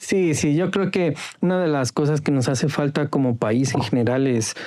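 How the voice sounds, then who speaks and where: A man with a fairly high pitch speaks at a moderate pace, with ordinary pitch variation and very even loudness. Noticeable background noise can be heard. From Ecuador, Carchi province. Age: 40s. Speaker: former newspaper editor. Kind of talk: podcast interview.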